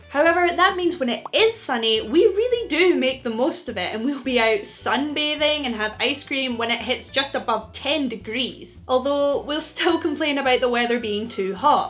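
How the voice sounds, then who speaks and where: A woman with a Scottish accent talks at a moderate pace, her high pitch moving in very wide swings. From Scotland. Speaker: video presenter. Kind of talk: scripted explainer talk to camera. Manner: casual, humorous.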